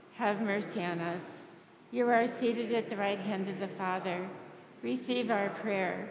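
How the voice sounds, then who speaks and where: A woman at a fairly slow pace with ordinary pitch variation, amid noticeable background noise. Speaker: priest leading a service. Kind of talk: liturgical reading. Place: church.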